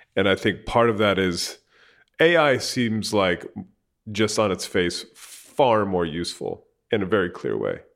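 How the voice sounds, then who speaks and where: A man talks in a normal speaking voice at a fairly slow pace, with a fairly low pitch and ordinary pitch variation. The recording is very clean, with a silent background. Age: 40s. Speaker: tech journalist and podcast host. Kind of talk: interview. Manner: casual.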